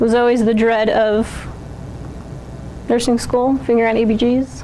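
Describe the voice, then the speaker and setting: Amid noticeable background noise and audible room echo, a woman speaks at a fairly slow pace and a fairly high pitch. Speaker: nursing student presenter. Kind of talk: class presentation.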